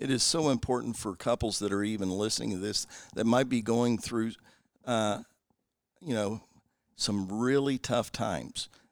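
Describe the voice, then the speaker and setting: On a very clean recording with a silent background, a man with a Southern US accent speaks at a moderate pace and medium pitch. His pitch varies in an ordinary way, and he takes long, frequent pauses. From US South (Kentucky). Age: 60s. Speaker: former pro baseball player and missionary. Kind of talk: interview testimony. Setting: guests' living room.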